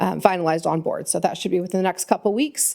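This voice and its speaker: A woman talks at a very fast pace. Her voice has a medium pitch and a dark, mellow tone. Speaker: transit agency staff presenter. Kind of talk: public meeting budget presentation.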